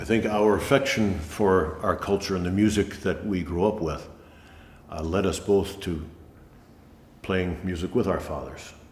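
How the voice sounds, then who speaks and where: With an American accent, a man talks at a moderate pace in a very deep, low pitch, somewhat breathy, with ordinary pitch variation, long, frequent pauses and audible room echo. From New Hampshire, US. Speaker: folk musician. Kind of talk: casual chat.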